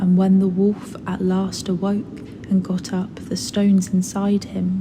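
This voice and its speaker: Soft-spoken woman with a British accent, medium pitch, monotone, flat intonation and a soothing tone, amid noticeable background noise. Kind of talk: sleep story. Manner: soft-spoken, soothing.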